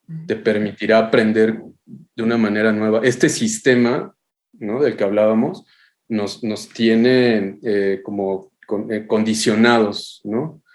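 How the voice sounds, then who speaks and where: At a very slow pace, a man talks with medium pitch and fairly even intonation. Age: 40s. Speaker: architectural photographer. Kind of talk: podcast interview. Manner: halting, many repetitions.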